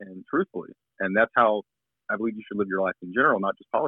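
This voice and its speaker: Speaking extremely fast, a man talks with an American accent. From Northeast Florida. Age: 20s. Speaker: political candidate. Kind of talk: interview. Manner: halting.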